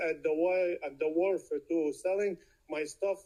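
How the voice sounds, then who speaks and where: A man talks at a fairly slow pace in a high pitch with a non-native accent. His intonation is monotone and flat. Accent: foreign accent in English. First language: not English (speaks Arabic, Italian, Spanish). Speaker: sidewalk vendor. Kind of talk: public comment at city meeting.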